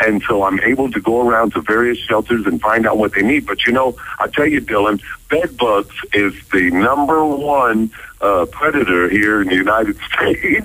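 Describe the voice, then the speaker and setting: A man's plain, everyday voice at medium pitch, moderate pace, very even loudness and ordinary pitch variation. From United States, Ohio. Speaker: radio voice-over announcer and author. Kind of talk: radio phone interview answer.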